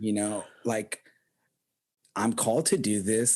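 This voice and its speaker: With an American accent, a man speaks at a fairly slow pace and a fairly low pitch. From US South, Texas Rio Grande Valley. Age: 30s. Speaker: podcast co-host and pastor. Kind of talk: casual chat. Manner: halting, many fillers.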